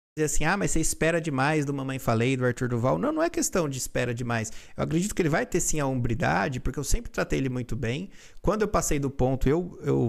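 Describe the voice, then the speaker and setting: A man at a fairly quick pace, medium pitch, vocal fry and lively intonation, in a very clean recording with a silent background. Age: 30s. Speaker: lawyer. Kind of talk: react video self-defense statement. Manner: halting, many fillers.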